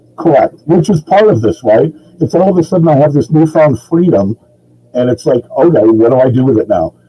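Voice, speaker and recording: Over music in the background, a man with a fairly high voice talks at a fairly quick pace, his intonation lively and his loudness very even, in a dry, close sound with no echo. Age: 60s. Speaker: IT consultant. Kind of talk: casual chat. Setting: video call.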